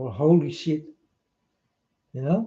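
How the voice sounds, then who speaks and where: A man talks with a dark, mellow tone. His pace is fairly slow. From Netherlands. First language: Dutch. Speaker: video blogger. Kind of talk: rambling monologue to camera. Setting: self-recorded on camera.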